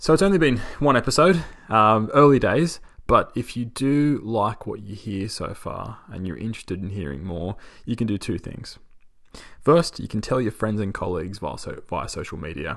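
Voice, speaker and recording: Against a quiet background, the speaker has an unremarkable speaking voice at a moderate pace. The intonation is lively, and the loudness swings widely. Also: man, medium pitch for a man. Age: 30s. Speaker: podcast host and postdoctoral scientist. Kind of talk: solo podcast monologue.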